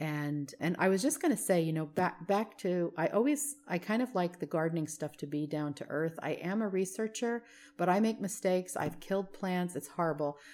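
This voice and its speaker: Speaking with an American accent, a woman has an unremarkable speaking voice, fairly low in pitch, with lively intonation. She keeps a moderate pace with hardly any pauses, on a very clean recording with a silent background. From New Jersey. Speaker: garden club president. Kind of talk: interview.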